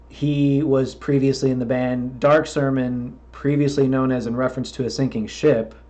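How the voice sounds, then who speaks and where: With an American accent, a man speaks in a dark, mellow tone at a medium pitch and moderate pace, his intonation monotone and flat and hardly any pauses breaking it, with audible room echo around him. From Florida. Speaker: podcast host and metal musician. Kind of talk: casual interview chat.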